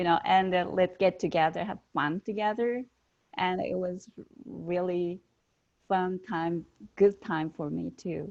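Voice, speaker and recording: A woman's medium-pitched voice with a Japanese accent, at a fairly slow pace, with fairly even intonation and long, frequent pauses. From Japan, Nara. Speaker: fermentation instructor. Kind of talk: panel discussion. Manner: halting.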